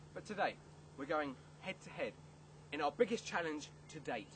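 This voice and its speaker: Amid light background noise, a man speaks at a moderate pace in an upbeat tone, his intonation lively and his loudness swinging widely. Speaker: children's TV presenter auditionee. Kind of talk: children's TV presenter double-act audition. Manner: upbeat, cheeky. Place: street. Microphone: camera far.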